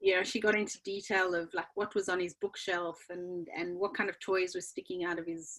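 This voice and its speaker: The speaker has a South African accent and talks at a moderate pace with hardly any pauses and fairly even intonation. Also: woman, medium pitch for a woman. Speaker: children's book author. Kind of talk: interview.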